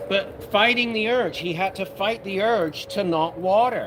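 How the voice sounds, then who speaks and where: A man with an American accent at a moderate pace, ordinary pitch variation, noticeable background noise behind him. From United Kingdom. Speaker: cannabis grow livestream host. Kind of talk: casual livestream chat. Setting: live stream. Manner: animated.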